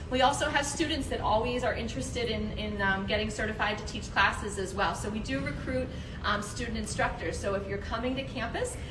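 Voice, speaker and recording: Noticeable background noise sits behind a woman speaking at a very fast pace. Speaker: fitness program staff guide. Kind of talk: tour guide explanation. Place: gym. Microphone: camera far.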